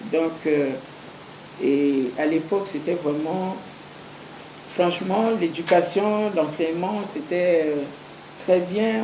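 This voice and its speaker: A woman speaks very slowly with a fairly low pitch and ordinary pitch variation, leaving long, frequent pauses. Audible room echo and noticeable background noise are present. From Central African Republic, Bambari. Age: 60s. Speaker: interview guest. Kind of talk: TV interview. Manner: hesitant, many fillers.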